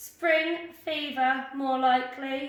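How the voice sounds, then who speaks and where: In a put-on character voice with a slight echo, a woman speaks at a high pitch with monotone, flat intonation. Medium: read story. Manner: prim, warning.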